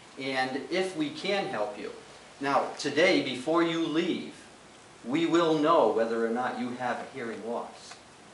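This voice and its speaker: Lively intonation and big swings in loudness mark this man's fairly high-pitched voice at a fairly slow pace. Noticeable background noise and audible room echo surround him. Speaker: hearing aid specialist. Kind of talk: role-play training session.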